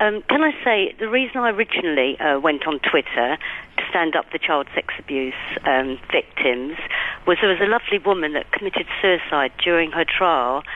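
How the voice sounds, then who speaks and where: Over noticeable background noise, a woman with a London accent and fairly low pitch talks at a moderate pace, her pitch swinging very widely while her loudness stays very even. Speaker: caller. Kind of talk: radio phone-in. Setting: phone call. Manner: indignant, emphatic; hesitant, many fillers.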